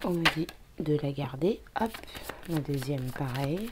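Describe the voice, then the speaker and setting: Noticeable background noise is present. The voice is soft-spoken and the pace very slow. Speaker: tarot card reader. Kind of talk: card reading.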